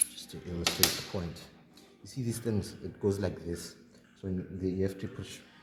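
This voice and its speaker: A man speaks at a moderate pace with ordinary pitch variation. There is audible room echo and noticeable background noise. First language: not English, a South African home language. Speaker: mechanic demonstrating engine work. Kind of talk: hands-on tutorial. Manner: casual, halting.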